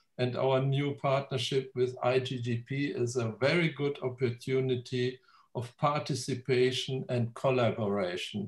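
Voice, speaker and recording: A man with a German accent, somewhat breathy and medium-pitched, at a very slow pace. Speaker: genealogy society president. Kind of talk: welcome speech. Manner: halting.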